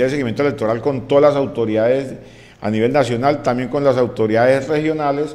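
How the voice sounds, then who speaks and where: Ordinary pitch variation comes through as a man speaks at a fairly quick pace. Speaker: news presenter. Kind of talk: news commentary. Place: studio. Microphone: studio mic.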